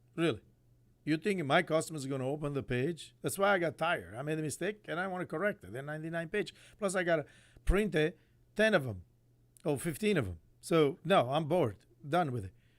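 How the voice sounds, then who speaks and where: A man speaks very fast in a fairly high pitch with lively intonation. Long pauses break up his speech often. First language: not English (English is fourth language). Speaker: chef and restaurateur. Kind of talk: casual monologue. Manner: halting; casual.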